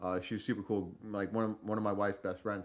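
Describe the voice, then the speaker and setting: With an American accent, a man speaks fairly quickly at a fairly low pitch. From Boston, Massachusetts (US). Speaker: army veteran podcast host. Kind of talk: casual chat. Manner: halting, many fillers and repeats.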